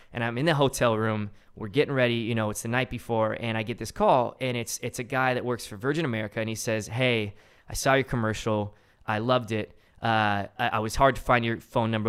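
Someone talks at a fairly quick pace in a normal speaking voice with fairly even intonation, on a very clean recording with a silent background. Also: man. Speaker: film director. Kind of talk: casual interview chat.

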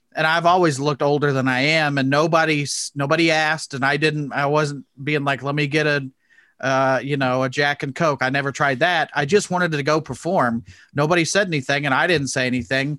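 Someone talks at a fairly quick pace with a bright, sharp tone and fairly even intonation, in a Midwestern American accent. The recording is very clean, with a silent background. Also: man, fairly high pitch for a man. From Indianapolis, Indiana. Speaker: comedian making online character videos. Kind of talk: casual interview chat.

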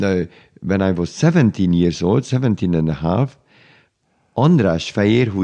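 A man with a Hungarian accent speaks in a dark, mellow tone at a fairly low pitch with lively intonation over a quiet background. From Hungary, Budapest. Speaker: conductor. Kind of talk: interview. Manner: halting.

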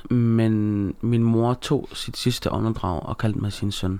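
A man at a medium pitch speaks at a fairly slow pace with fairly even intonation. He has an unremarkable speaking voice. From Denmark, Aarhus (Gellerup). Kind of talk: casual interview chat.

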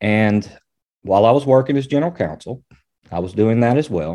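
A man with a Southern US accent and a dark, mellow tone, over a quiet background. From Arkansas, Springdale. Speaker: attorney. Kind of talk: interview.

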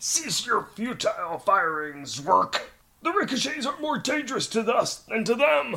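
A man puts on a character voice at an extremely high pitch. The pitch swings very widely. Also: moderate pace. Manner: urgent, commanding.

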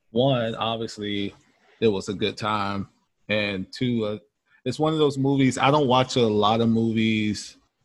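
In an American accent, an unremarkable speaking voice moves at a fairly slow pace with fairly even intonation. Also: man. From US South. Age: 30s. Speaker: podcast guest, movie fan. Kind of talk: casual chat.

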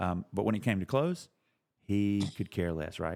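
In an American accent, a man with a plain, everyday voice speaks at a moderate pace, his fairly low pitch varying in an ordinary way. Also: very clean recording, silent background. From US South, South Carolina. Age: 50s. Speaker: podcast host. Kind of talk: casual chat; interview.

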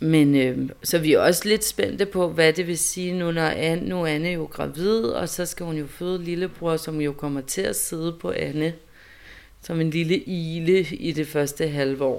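A woman with a plain, everyday voice, fairly low in pitch, at a fairly slow pace with ordinary pitch variation. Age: 30s. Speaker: mother. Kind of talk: interview testimony.

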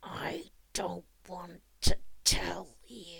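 A growling, put-on character voice. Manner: creepy, reluctant.

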